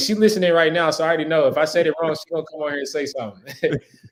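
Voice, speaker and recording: Speech at a very fast pace comes through noticeable background noise. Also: man. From US South, coastal Georgia (Hinesville). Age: 20s. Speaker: school teacher and basketball coach. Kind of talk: interview. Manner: casual, filler-heavy.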